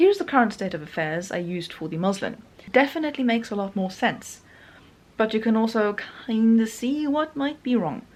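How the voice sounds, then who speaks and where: A woman speaks with a non-native accent. Her pace is moderate and her intonation lively. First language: not English. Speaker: sewing YouTuber. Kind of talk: vlog narration. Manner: casual with fillers.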